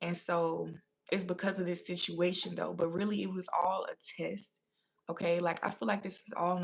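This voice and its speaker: A woman speaks at a fairly quick pace with a fairly low pitch and vocal fry. Her intonation stays fairly even. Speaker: tarot reader. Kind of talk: live tarot reading. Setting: livestream.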